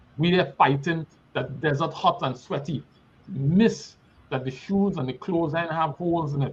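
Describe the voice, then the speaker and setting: In a Trinidadian accent, a man speaks at a moderate pace. His pitch is fairly high, and it varies in an ordinary way. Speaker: guest speaker. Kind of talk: sermon-like exhortation.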